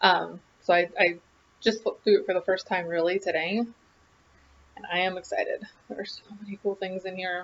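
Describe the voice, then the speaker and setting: A woman's monotone, flat intonation at a fairly quick pace, broken by long, frequent pauses. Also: medium pitch for a woman. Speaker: craft video host. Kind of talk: casual vlog chat.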